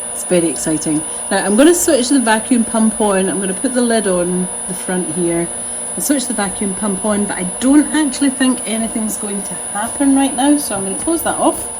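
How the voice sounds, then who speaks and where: A woman's fairly high voice with lively intonation, big swings in loudness and a fairly quick pace, against noticeable background noise. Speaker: potter demonstrating studio equipment. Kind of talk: tutorial. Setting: pottery studio. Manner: speaking more quietly than usual.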